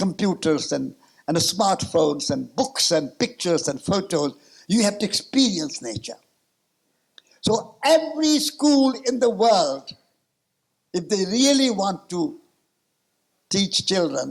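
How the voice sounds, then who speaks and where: Speaking at a fairly slow pace with long, frequent pauses, a man with a high pitch swings his pitch very widely. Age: 80s. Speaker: peace activist and author. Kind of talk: conference talk.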